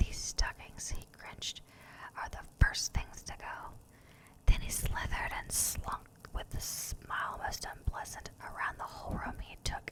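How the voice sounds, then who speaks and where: The speaker whispers in a soothing tone. The pace is fairly slow. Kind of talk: ASMR bedtime story reading. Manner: whispered; soft, soothing.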